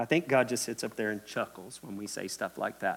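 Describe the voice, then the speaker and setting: With a Kentucky accent, a man talks at a moderate pace and medium pitch. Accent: Kentucky Southern US. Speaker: preacher. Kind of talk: sermon. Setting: church. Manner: animated.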